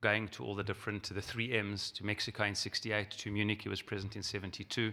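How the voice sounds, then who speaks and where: A man's very fast, flat monotone in a South African accent, bright and sharp in tone. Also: fairly low pitch for a man. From South Africa, Johannesburg. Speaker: rabbi and organization president. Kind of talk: keynote speech.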